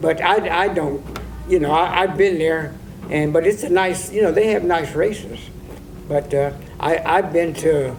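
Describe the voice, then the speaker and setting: A man with an American accent and a high pitch, at a moderate pace with ordinary pitch variation, amid audible room echo and noticeable background noise. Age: 80s+. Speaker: harness racing old-timer. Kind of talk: oral history interview. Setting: log cabin on fairgrounds. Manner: halting, many repetitions.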